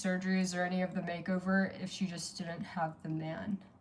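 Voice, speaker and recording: Noticeable background noise surrounds a woman's speech. Her intonation stays fairly even. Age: 40s. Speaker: livestreamer. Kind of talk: casual livestream chat.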